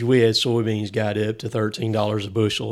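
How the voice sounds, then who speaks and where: A man speaks in a Southern US accent. His pitch is medium and his pace moderate. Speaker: logger. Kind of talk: casual chat.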